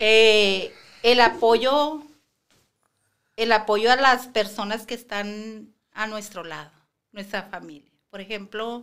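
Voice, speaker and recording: A woman with a fairly high pitch and ordinary pitch variation, at a very slow pace with long, frequent pauses and big swings in loudness. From Mexico, Sinaloa (Guasave area); Sinaloa, Mexico. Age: 50s. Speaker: preschool teacher, cancer survivor; podcast guest. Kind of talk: podcast interview. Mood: earnest, reflective. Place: studio. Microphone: studio mic.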